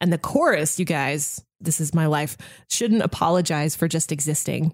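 Speaking at a moderate pace with fairly even intonation, a woman with an ordinary speaking voice and a fairly low pitch is heard in a very clean recording with a silent background. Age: 30s. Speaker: radio host. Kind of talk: casual chat.

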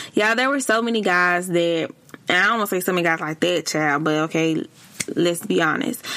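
A woman's fairly low voice, fairly quick, with lively intonation and very even loudness, against noticeable background noise. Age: 30s. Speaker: podcast host. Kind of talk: casual advice monologue. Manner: animated.

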